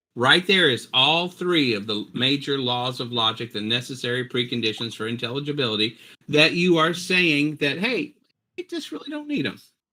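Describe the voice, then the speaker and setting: At a moderate pace, a man with a fairly high pitch and lively intonation has an unremarkable speaking voice. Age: 60s. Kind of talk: heated debate. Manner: forceful, talks over others.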